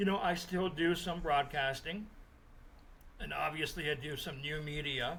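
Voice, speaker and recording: A man with a Canadian accent speaks at a fairly slow pace and fairly high pitch. Audible room echo and noticeable background noise surround him. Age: 60s. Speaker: sports journalist. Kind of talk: interview. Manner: casual, with frequent fillers.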